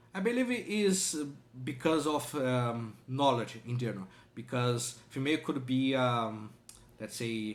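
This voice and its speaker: At a moderate pace, a man speaks in a medium-pitched voice with ordinary pitch variation. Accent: strong non-native. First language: not English. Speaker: language learner and reaction video host. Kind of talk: reaction video commentary. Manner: halting, many fillers.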